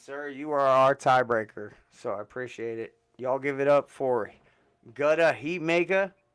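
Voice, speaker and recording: The speaker's loudness swings widely, with ordinary pitch variation and an animated tone. The pace is moderate. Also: man, fairly high pitch for a man. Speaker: beat battle show host. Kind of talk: casual live stream judging chat. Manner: animated, loud.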